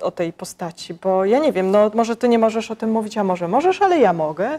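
A woman with a fairly high pitch and a dark, mellow tone speaks at a fairly quick pace, her intonation lively. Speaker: magazine interviewer. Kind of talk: interview questions. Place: hall. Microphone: lapel.

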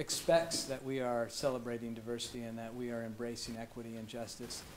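With light background noise behind him, a man talks very fast. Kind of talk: formal presentation. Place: meeting room.

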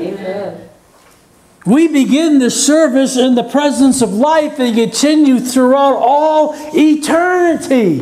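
A man's extremely high pitch at a very slow pace, with ordinary pitch variation. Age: 60s. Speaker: pastor. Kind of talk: sermon. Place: church. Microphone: lapel.

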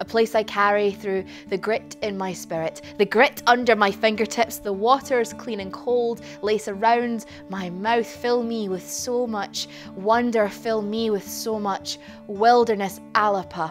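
A woman's voice at a fairly slow pace, with faint music in the background. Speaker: poet performer. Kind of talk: spoken-word poetry performance. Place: stage.

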